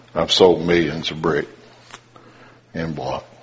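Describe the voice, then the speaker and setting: With noticeable background noise and audible room echo, a man talks in a very deep, low voice and a monotone, flat intonation. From Appalachia (coal country). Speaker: lay preacher. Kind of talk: sermon.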